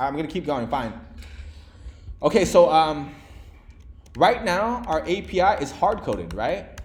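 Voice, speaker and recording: A man's fairly high voice carries vocal fry and very wide pitch swings, with audible room echo. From Vietnam. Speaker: programming instructor. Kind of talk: live coding lecture to a class. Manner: fast; casual, filler-heavy.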